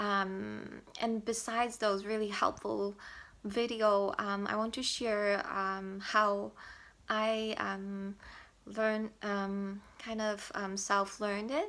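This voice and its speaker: Speaking very slowly in a monotone, flat intonation, a woman with a Mandarin accent has a bright, sharp tone at medium pitch, recorded very cleanly with a silent background. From Taiwan. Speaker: language learner vlogger. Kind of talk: tutorial. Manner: halting, many fillers.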